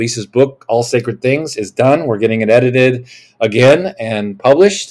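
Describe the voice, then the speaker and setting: A medium-pitched man speaks in an animated tone with ordinary pitch variation, in a very clean recording with a silent background. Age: 50s. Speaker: podcast host and preacher. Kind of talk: podcast sermon / teaching monologue.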